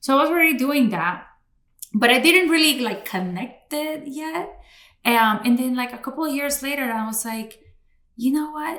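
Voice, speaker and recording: A woman at a moderate pace, high-pitched and bright and sharp in tone, with lively intonation and audible room echo. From Cali, Colombia; raised in Florida, US. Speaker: podcast host and bilingual communications consultant. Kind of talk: interview conversation. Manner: casual, many fillers.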